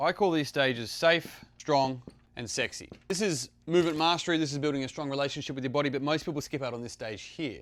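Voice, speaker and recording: A man talks at a very fast pace. His pitch is fairly high for a man, with ordinary pitch variation. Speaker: fitness coach. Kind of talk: short talking-head tutorial.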